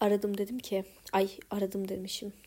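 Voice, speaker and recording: The speaker is female. She talks at a medium pitch. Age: 20s. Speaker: podcaster. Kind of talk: personal audio diary. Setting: home bedroom. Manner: reflective. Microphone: recording on iPad held close.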